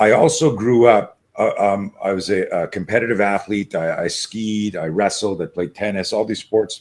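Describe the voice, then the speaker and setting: A man's fairly low voice at a moderate pace with hardly any pauses, ordinary pitch variation, and a very clean recording with a silent background. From Canada. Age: 60s. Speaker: martial arts and self-defense coach. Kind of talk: interview. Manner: animated.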